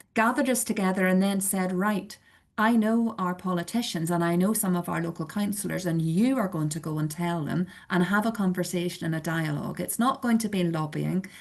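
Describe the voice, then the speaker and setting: Speaking with a Belfast accent, a woman keeps a fairly quick pace. Her medium pitch shows ordinary variation. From Northern Ireland, Belfast. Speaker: church community organiser. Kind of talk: webinar presentation.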